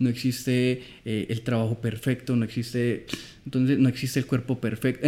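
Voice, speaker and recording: On a very clean recording with a silent background, a man speaks in an Antioquian accent at a moderate pace. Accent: Colombian paisa Spanish. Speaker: film director. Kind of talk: casual chat.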